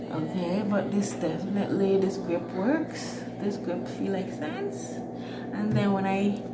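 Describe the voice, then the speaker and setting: A woman talks at a very slow pace amid noticeable background noise. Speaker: vlogger. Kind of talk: casual vlog chat. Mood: annoyed, storytelling.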